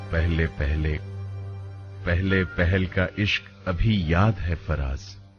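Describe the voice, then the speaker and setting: A man speaks at a very deep, low pitch with fairly even intonation and very even loudness. Music plays in the background. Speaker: radio jockey and poetry reader. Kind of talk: Urdu poetry reading.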